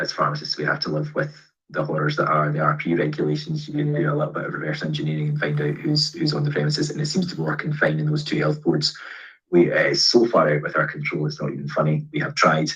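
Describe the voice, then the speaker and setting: With a Scottish accent, a man talks at a very fast pace. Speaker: pharmacist, event host. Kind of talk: Q&A webinar answers. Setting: video call.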